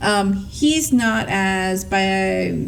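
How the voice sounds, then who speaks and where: A woman's voice carries audible room echo. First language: Spanish. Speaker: podcast co-host. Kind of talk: casual chat. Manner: animated.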